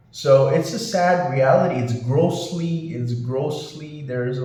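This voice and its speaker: Room echo can be heard around this man's voice. There is also noticeable noise in the background. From India. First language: not English (non-native speaker). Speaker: YouTuber and English teacher. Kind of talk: vlog monologue. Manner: halting, many fillers; animated, indignant.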